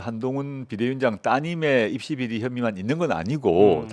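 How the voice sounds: A man speaks with a Busan accent at a moderate pace. His pitch is medium, with ordinary variation.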